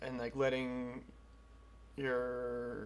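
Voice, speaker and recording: Here a man talks at a medium pitch. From US Northeast (New Preston, Connecticut). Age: 20s. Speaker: amateur MMA fighter. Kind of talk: documentary interview.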